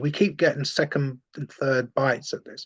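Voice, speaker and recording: A man with a London accent, medium pitch, in a dry, close sound with no echo. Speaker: former far-right activist turned anti-fascist campaigner. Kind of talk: interview. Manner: animated.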